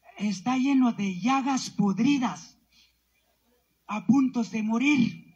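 Long pauses come often as the talking moves very slowly. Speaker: community representative, protester. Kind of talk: protest speech.

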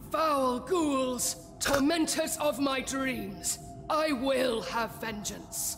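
A put-on character voice, female-sounding and high-pitched, moves at a very slow pace over clear background noise. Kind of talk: theatrical, archaic. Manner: hammy, over-the-top, dramatic.

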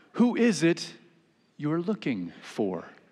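A man talks at a slow pace in a fairly high pitch, his dark, mellow tone carrying a slightly husky edge and very wide pitch swings.

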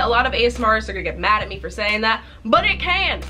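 A woman's upbeat, fairly quick delivery over faint background music. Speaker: ASMR creator. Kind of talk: casual talk to camera. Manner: normal speaking voice, not whispered; upbeat, chatty. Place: home room. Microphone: phone near.

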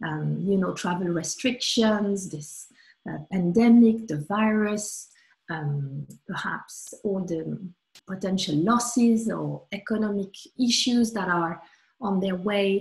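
A somewhat breathy woman at a very slow pace, quiet background behind her. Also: medium pitch for a woman, ordinary pitch variation. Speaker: sophrologist. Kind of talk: guided meditation. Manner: calm, soothing. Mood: calm, warm. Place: home room. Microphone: webcam.

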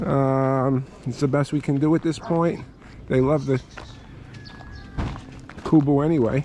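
The speech moves at a fairly slow pace with fairly even intonation. The sound is dry with no echo, over light background noise. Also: man. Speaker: homeowner vlogger. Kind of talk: casual vlog chat. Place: garden. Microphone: phone near.

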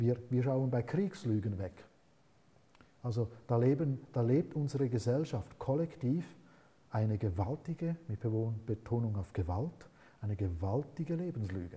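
A man with a dark, mellow, somewhat breathy voice speaks at a fairly slow pace. His intonation is lively, and he leaves long, frequent pauses. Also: medium pitch for a man. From Switzerland. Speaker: author and philosopher; interview guest. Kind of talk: interview. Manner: halting. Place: studio. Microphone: lapel.

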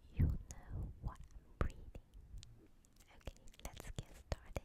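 Very slow whispering from a woman. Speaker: ASMR creator. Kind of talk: ASMR recipe reading. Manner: whispered. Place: home room. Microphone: studio mic.

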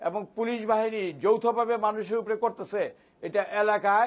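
This man's voice sits at a high pitch with ordinary pitch variation. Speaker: lawyer and opposition party adviser. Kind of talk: televised political debate. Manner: halting.

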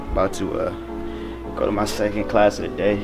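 A man speaks with music clearly audible in the background. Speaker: college student vlogger. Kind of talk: casual vlog chat. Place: hall. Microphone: phone near.

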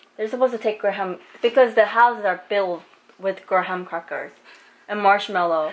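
The speaker talks at a moderate pace with a Korean accent. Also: woman, medium pitch for a woman, ordinary pitch variation. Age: 20s. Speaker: vlogger. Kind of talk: casual chat. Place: kitchen. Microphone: phone near.

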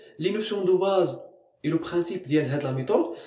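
The delivery is fairly quick, with very wide pitch swings. Audible room echo surrounds it. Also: man. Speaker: chemistry teacher. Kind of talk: educational lecture. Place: classroom. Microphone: phone near.

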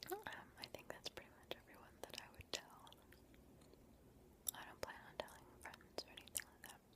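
A soft-spoken woman whispers amid loud background noise, the sound dry with no echo. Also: moderate pace. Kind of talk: soft-spoken casual Q&A chat. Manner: soft close whisper. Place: home room. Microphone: webcam.

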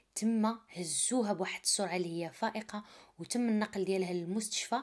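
A woman speaks with a Moroccan accent. Her pitch is medium and her intonation fairly even. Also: very clean recording, silent background. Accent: Moroccan Arabic (Darija). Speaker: true crime storyteller. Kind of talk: narrated true crime story. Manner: casual, conversational.

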